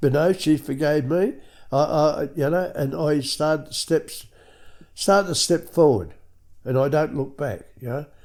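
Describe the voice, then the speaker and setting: A man with an Australian accent, fairly high-pitched for a man, at a moderate pace with ordinary pitch variation. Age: 70s. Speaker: recovering alcoholic sharing his story, former truck driver. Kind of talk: testimony.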